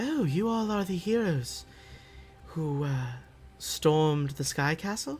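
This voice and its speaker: A man's breathy, put-on character voice, fairly high in pitch, with lively intonation at a fairly slow pace, long, frequent pauses, and clear music in the background. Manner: airy, mysterious.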